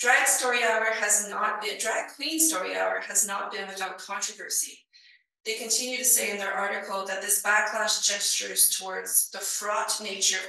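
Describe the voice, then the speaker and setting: Moderate pace and fairly even intonation, with audible room echo. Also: woman. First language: not English. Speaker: librarian conference speaker. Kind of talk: conference presentation.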